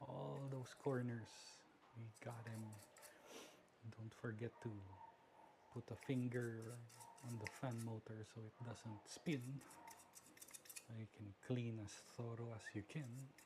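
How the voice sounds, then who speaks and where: A man at medium pitch speaks at a very slow pace with long, frequent pauses and fairly even intonation, against noticeable background noise. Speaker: tech hobbyist vlogger. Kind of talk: tutorial.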